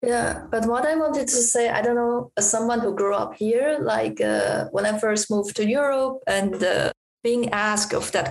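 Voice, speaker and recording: Speaking with a Chinese accent at a moderate pace, this voice has hardly any pauses, very even loudness and ordinary pitch variation. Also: woman. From Taiwan. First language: Mandarin Chinese. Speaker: artist. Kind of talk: casual interview conversation. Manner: halting, many fillers.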